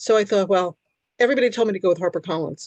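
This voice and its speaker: Against a quiet background, a woman of medium pitch speaks with ordinary pitch variation in a dry, close sound with no echo. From New York City, Brooklyn/Queens and New Jersey. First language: Hungarian. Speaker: author. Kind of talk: interview. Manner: halting, many fillers.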